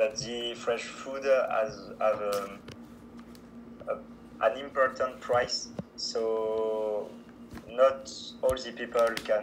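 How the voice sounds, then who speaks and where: Over noticeable background noise, a man with a French accent talks at a very slow pace with long, frequent pauses. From France. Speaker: student language exchange partner. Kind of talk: casual interview. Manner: halting.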